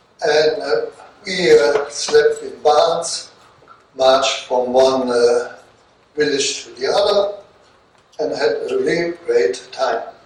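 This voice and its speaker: Speaking very slowly with long, frequent pauses, a man varies widely in loudness amid noticeable background noise and audible room echo. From Germany, Rhineland. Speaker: war veteran. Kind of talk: talk to students. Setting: classroom with audience.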